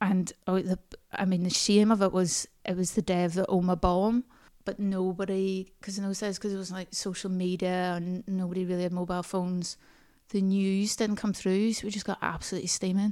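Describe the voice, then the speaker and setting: Delivered in a Northern Irish accent, the speech is fairly quick and monotone, with a dark, mellow tone on a very clean recording with a silent background. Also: woman, medium pitch for a woman. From Northern Ireland, small town near Banbridge. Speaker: stand-up comedian and comedy writer. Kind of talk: casual chat. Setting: in person at host's house.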